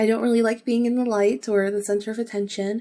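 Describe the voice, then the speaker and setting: This woman has a fairly high pitch. Her tone is calm. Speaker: podcast host. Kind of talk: casual monologue. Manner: calm, with pauses.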